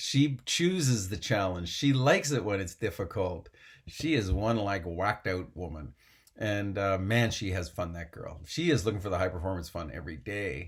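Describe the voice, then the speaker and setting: A man speaks at a moderate pace in a fairly low, somewhat breathy voice, with lively intonation and an animated tone, on a very clean recording with a silent background. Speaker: mental performance coach for equestrian athletes. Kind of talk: motivational coaching talk.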